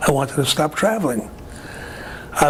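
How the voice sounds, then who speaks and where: With a New York accent and a fairly high pitch, a man speaks at a moderate pace over noticeable background noise. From Brooklyn, New York. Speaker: retired aircraft worker, war veteran. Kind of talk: oral history interview answer.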